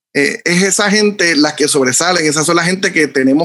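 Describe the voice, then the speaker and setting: Here a man has a normal speaking voice with a fairly high pitch. He talks at a fairly quick pace with ordinary pitch variation. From Puerto Rico, Bayamón. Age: 30s. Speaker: photographer. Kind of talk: casual interview chat.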